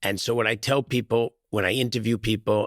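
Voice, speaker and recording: A man with a New York accent at a fairly quick pace, dry and close with no echo, in a very clean recording with a silent background. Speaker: real estate executive. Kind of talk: podcast interview.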